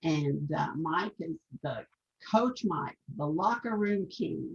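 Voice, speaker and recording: The speaker is a woman with a fairly low pitch. Her voice sounds somewhat breathy. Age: 70s. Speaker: network marketer host. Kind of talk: casual interview.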